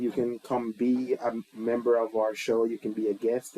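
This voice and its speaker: Medium-pitched male voice against noticeable background noise. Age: 40s. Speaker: podcast co-host. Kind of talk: casual chat.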